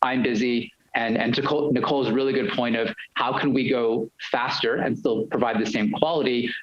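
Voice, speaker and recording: This man has a New York accent and medium pitch. He talks at a fairly quick pace with ordinary pitch variation. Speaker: university lecturer. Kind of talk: panel discussion. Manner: fast.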